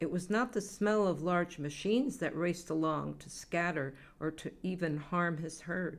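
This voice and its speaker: A woman talks at a fairly slow pace in a fairly low pitch. She has a normal speaking voice. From Massachusetts. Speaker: poet. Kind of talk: poetry reading.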